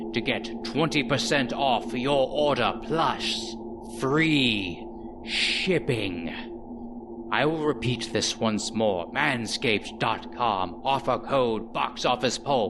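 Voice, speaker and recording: A man puts on a character voice in a dramatic tone, with a Hungarian-free medium pitch and a very slow pace. Loud background noise runs behind him. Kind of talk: mock gothic sea-tale narration, parody ad. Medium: solo performance. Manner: grave, dramatic, archaic phrasing.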